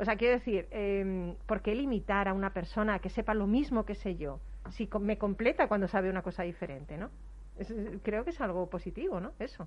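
Using vocal fry, a woman of medium pitch talks at a fairly quick pace with ordinary pitch variation. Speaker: radio host. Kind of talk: casual chat. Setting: studio. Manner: animated.

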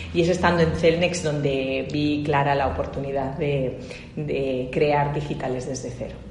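At a fairly slow pace, a woman talks in a very deep, low pitch with fairly even intonation, amid audible room echo and noticeable background noise. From Spain, Barcelona. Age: 40s. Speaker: tech industry association director. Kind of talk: interview.

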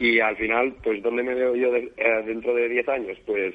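At a moderate pace, a man speaks with a medium pitch that shows little movement.

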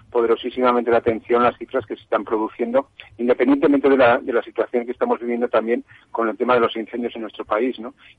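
Monotone, flat intonation runs through speech delivered at a very fast pace. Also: man. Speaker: health communications director. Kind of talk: radio panel discussion. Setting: remote connection.

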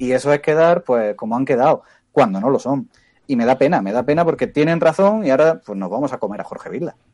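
A man talks at a very fast pace, his pitch fairly high. His intonation is lively, and the sound is dry and close with no echo. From Spain, Andalusia (Motril, Granada). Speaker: sports commentator. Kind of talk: casual chat.

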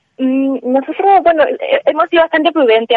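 A normal speaking voice moves at a moderate speed, its pitch varying in an ordinary way. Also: woman. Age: 20s. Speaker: acoustic engineer and entrepreneur. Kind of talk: radio interview.

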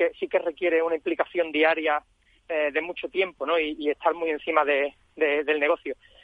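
Talking at a fairly quick clip, a man uses a fairly high pitch and fairly level intonation. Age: 30s. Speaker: franchisee, entrepreneur. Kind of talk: radio interview. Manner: halting, many repetitions.

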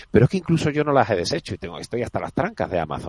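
A man talks with lively intonation. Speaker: fund manager. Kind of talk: radio interview.

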